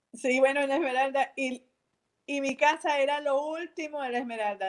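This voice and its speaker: A woman with a Venezuelan accent, high in pitch, at a moderate pace with ordinary pitch variation. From Venezuela, Valencia (Carabobo). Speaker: artist and entrepreneur. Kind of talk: casual interview.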